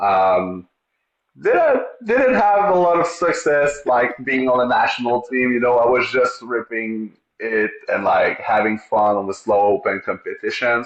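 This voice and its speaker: The speaker has a Quebec accent and talks at a fairly slow pace. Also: man, very even loudness. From Quebec, Montreal. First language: French. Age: 30s. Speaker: street luge racer. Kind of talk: podcast interview. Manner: halting.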